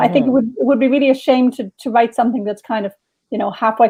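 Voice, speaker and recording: A woman with a high-pitched voice speaks in an Irish accent. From Dublin, Ireland. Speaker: novelist. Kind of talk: interview answer.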